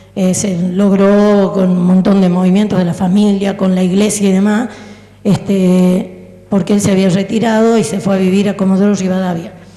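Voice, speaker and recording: A woman's medium-pitched, monotone, flat voice at a moderate pace, with audible room echo and noticeable background noise. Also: very even loudness. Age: 60s. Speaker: audience member. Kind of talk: audience comment at Q&A. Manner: halting.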